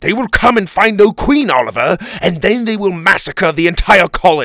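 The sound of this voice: Putting on a character voice, a man speaks high in pitch at a moderate pace, his bright, sharp tone making big pitch swings.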